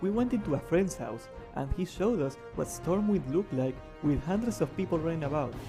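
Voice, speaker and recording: Music plays in the background as a man talks at a fairly quick pace. His pitch is fairly high and swings very widely. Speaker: gaming content creator. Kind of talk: gaming commentary voiceover.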